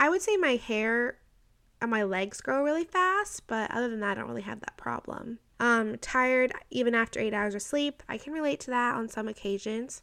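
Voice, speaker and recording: Speaking at a moderate pace, a woman with a fairly high pitch uses an animated tone, lively intonation and a bright, sharp sound. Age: 20s. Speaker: podcast host. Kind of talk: casual monologue.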